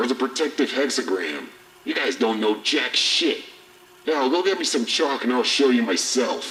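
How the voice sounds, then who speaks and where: A man performs a put-on character voice. He keeps a medium pitch at a moderate pace. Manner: aggressive, taunting, profane.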